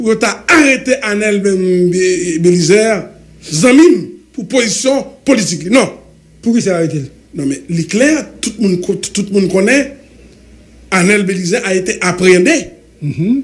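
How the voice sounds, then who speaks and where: Using a Haitian accent, a man speaks very slowly in a high voice with lively intonation, leaving long, frequent pauses. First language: Haitian Creole (speaking French). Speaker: government supporter; guest. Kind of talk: heated debate. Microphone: studio mic.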